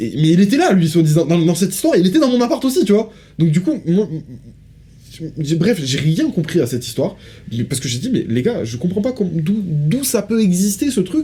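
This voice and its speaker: A man speaks with a high pitch and a dark, mellow tone. His pitch swings very widely. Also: fairly quick pace. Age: 20s. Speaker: podcast co-host. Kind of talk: casual chat. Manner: fast.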